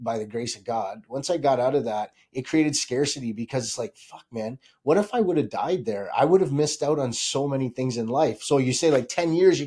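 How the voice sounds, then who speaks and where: A man speaks fairly quickly with hardly any pauses. His pitch is fairly high with ordinary variation, and his loudness swings widely. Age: 40s. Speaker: realtor. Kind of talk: casual chat. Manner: animated.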